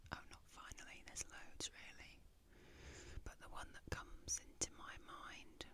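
A woman whispers softly at a fairly slow pace. The sound is dry with no echo, and background noise is noticeable. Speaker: ASMR content creator. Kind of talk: soft-spoken personal talk. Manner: soft musing whisper. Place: home room. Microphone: studio mic.

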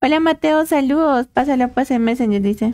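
A woman's high-pitched, slightly mellow voice at a moderate pace, with ordinary pitch variation

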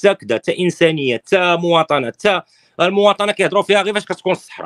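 A man speaks with a high pitch over a quiet background. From Morocco. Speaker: political opposition activist; political commentator guest. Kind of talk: interview. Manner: animated. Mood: critical, serious. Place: home room. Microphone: phone near.

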